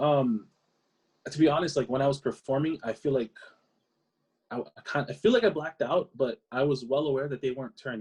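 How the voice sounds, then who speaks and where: The speaker has a Hawaiian accent and a somewhat breathy voice with ordinary pitch variation. The pace is fairly quick, broken by long, frequent pauses, in a dry, close sound with no echo. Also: man, fairly high pitch for a man. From Hawaii (Maui, Oahu). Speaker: singer. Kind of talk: interview answer.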